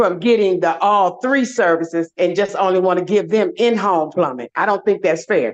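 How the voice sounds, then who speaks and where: This woman has a medium pitch and ordinary pitch variation. She speaks at a moderate pace. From Detroit, US Midwest. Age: 60s. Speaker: public commenter. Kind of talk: public comment at meeting.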